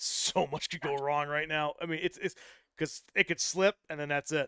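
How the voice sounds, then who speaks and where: The recording is dry and close, with no echo at all. It features a man with an American accent. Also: very clean recording, silent background. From Wisconsin. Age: 30s. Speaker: podcast host and strongman commentator. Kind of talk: casual interview chat. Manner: animated.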